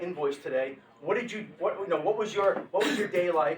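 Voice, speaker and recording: Noticeable background noise surrounds a man with a high pitch. His tone is animated and his intonation lively. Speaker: motivational speaker on leadership. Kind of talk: talk to business audience. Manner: fast.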